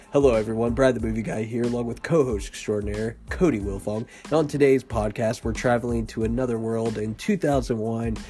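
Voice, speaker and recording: With music playing behind him, a man talks at a fairly quick pace with hardly any pauses. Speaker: podcast host. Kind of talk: casual chat.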